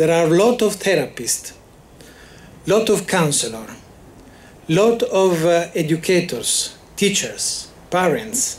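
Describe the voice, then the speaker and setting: The speaker has an Italian accent and lively intonation, with very even loudness. The pace is very slow, broken by long, frequent pauses. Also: man, high pitch for a man. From Italy. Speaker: psychology association representative. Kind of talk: memorial speech. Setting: ceremony with audience. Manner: halting, many hesitations.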